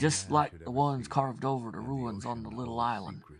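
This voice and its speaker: A wheezy put-on character voice at a moderate pace over background music. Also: man. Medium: read story. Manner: rambling, secretive, colloquial.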